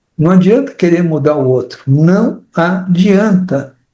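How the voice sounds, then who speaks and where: A high-pitched man with a dark, mellow tone, speaking at a very slow pace. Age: 70s. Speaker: participant. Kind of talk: testimony. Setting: online live stream.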